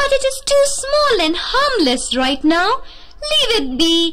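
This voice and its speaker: In a cartoonish character voice, a woman squeaks at an extremely high pitch with very wide pitch swings, going at a fairly slow pace over light background noise. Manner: doubtful, dismissive.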